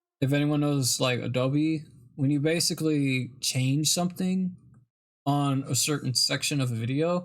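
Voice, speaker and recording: With music in the background, the speaker keeps a moderate pace and ordinary pitch variation. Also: man. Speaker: live-streaming artist. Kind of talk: casual chat. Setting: live stream.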